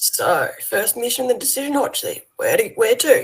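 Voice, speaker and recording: Putting on a raspy character voice in an Australian accent, a woman speaks at a moderate pace. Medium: actual play. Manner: laid-back, casual slang.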